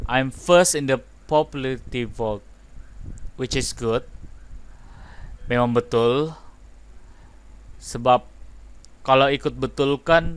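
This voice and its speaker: A man speaks fairly slowly in a Malaysian accent, leaving long, frequent pauses. His pitch is medium and his intonation fairly even. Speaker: gaming youtuber. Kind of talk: gameplay commentary reading dialogue.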